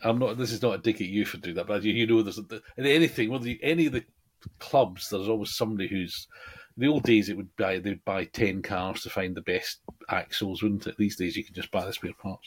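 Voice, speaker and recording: Speaking very fast, a man uses an English accent. His pitch is fairly low, with ordinary variation. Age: 60s. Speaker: podcast co-host, slot car hobbyist. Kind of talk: casual chat.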